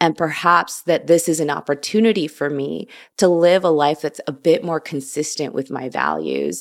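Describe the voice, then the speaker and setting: On a very clean recording with a silent background, a woman with a very deep, low voice and vocal fry talks at a moderate pace with ordinary pitch variation. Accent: American. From US Midwest, Chicago. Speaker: vegan food writer and podcaster. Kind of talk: casual interview chat.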